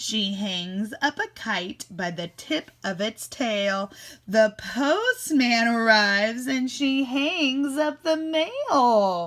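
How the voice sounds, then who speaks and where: At a very slow pace and with hardly any pauses, a woman speaks at a fairly high pitch. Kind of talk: classroom read-aloud. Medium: read story. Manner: warm, animated.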